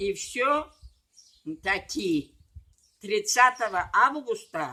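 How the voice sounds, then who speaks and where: Her voice is high and bright, with a sharp tone. This woman speaks at a very slow pace with very wide pitch swings. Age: 80s+. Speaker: retired medic, rural paramedic. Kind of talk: interview answer, reading from papers.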